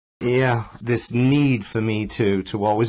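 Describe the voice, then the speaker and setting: A man with a Yorkshire accent and fairly even intonation, in a very clean recording with a silent background. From Yorkshire, northern England. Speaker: author. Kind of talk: interview.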